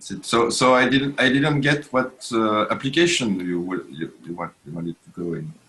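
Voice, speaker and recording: A man with a French accent talks at a medium pitch and a moderate pace, with hardly any pauses. His pitch swings very widely, and his loudness rises and falls sharply. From France. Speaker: programmer. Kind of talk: casual chat. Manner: halting.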